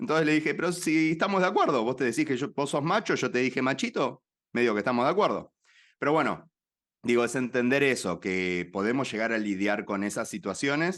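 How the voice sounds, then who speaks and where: Against a quiet background, a man with a Rioplatense accent talks at a fairly quick pace, his medium pitch carrying lively intonation and his loudness very even. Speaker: activist and platform cofounder. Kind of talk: interview conversation.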